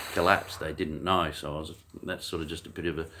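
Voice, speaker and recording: A man talks at a very fast pace in an Australian accent. His tone is bright and sharp. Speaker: martial arts coach. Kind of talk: casual interview. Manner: loud; halting.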